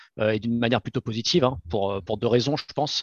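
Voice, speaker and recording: A man talking at a very fast pace, his intonation fairly even. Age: 30s. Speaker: crypto startup cofounder. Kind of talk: interview. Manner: halting, frequent repetitions.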